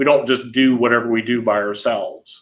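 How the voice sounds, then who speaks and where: With a normal speaking voice, a man talks at medium pitch and a moderate pace. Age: 40s. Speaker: intellectual property lawyer. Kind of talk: casual interview chat.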